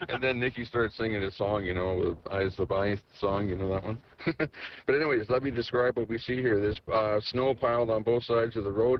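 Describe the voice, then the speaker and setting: With an Alberta accent, a man speaks at a medium pitch and a fairly quick pace, his intonation fairly even. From Alberta, Canada. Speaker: convoy participant on trucker radio. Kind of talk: live radio chatter, describing the road.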